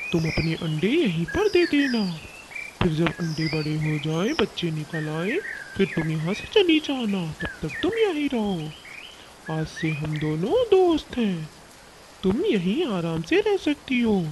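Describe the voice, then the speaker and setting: A cartoonish character voice at middle pitch and fairly slow pace, with clear background noise. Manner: blustering, sly.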